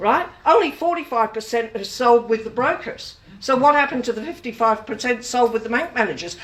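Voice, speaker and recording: With an Australian accent, a woman speaks at a high pitch and a moderate pace, with hardly any pauses. Her pitch variation is ordinary, and there is noticeable background noise. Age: 70s. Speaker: consumer advocate. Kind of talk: public talk. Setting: room with audience.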